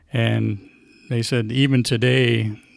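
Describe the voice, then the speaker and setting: A man with a Midwestern American accent at a medium pitch, monotone and flat, on a very clean recording with a silent background. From Atlanta, Illinois. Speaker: sports writer and newspaper editor. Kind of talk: interview answer. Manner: soft-spoken.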